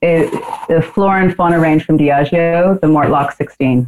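With an American accent, a woman talks in an ordinary speaking voice, fairly low in pitch, at a fairly slow pace with ordinary pitch variation. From New Zealand and US. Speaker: whisky sales manager, former bartender. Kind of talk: casual chat.

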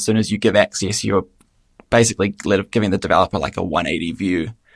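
Using a New Zealand accent, a man with a fairly low pitch talks at a fairly quick pace with fairly even intonation in a dry, close sound with no echo. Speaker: app developer. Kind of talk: casual interview.

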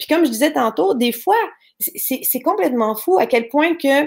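The speaker has a Quebec accent and a fairly slow pace. The pitch swings very widely. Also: woman. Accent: Québécois French. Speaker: online entrepreneur. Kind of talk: interview. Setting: live stream.

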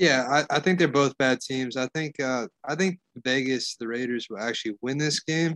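A man speaks at a moderate pace in a normal speaking voice, medium in pitch, with ordinary pitch variation. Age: 40s. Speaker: sports betting podcast co-host. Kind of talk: casual chat.

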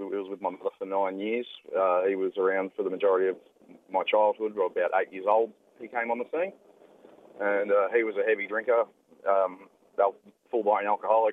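This man has an Australian accent and a fairly low pitch. His intonation is fairly even and his pace moderate. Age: 20s. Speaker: former domestic abuser. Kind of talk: testimony. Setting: phone call.

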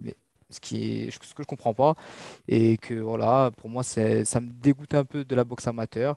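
Against a quiet background, a man speaks with fairly even intonation in a dark, mellow tone, in a dry, close sound with no echo. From Mauritius. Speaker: boxer. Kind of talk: interview. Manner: halting.

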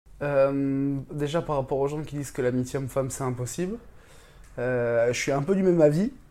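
The voice has a dark, mellow tone and ordinary pitch variation, moving at a moderate pace with long, frequent pauses. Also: man, fairly high pitch for a man. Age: 20s. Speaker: traveler. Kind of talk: casual chat.

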